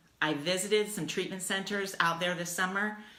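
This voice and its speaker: With an American accent, a woman talks at a moderate pace and ordinary pitch variation. Room echo is audible. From US Midwest, Dayton, Ohio. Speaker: life coach. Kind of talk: casual livestream talk. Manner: animated.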